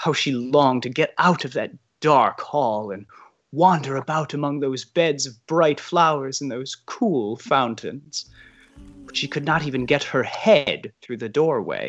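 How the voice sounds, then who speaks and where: A man at a fairly slow pace, fairly high in pitch with ordinary pitch variation and big swings in loudness, with music in the background. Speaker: stage actor. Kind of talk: audiobook narration.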